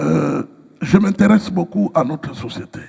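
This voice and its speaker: A man is speaking. His pace is very slow. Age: 60s. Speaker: pastor. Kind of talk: interview. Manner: hesitant with frequent fillers.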